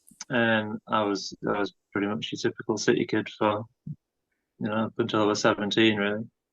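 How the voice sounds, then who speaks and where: A man speaks with a northern English accent. The sound is dry and close, with no echo. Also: quiet background. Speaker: bush school founder. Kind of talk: interview.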